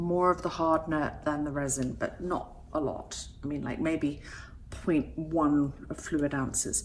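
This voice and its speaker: With an English accent, a woman is talking. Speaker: resin artist. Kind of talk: tutorial. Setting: home studio. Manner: casual, chatty.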